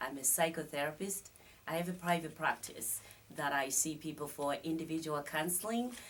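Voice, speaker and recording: A woman speaks with a Zimbabwean accent. Her pitch is very deep and low. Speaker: psychotherapist and life coach. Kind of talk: studio interview. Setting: studio.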